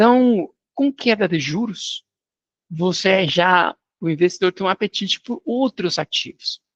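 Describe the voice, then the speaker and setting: In a non-native accent, a man with a high pitch speaks fairly slowly with lively intonation, in a dry, close sound with no echo and a quiet background. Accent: foreign accent in Portuguese. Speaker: finance industry executive. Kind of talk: interview. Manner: casual, animated.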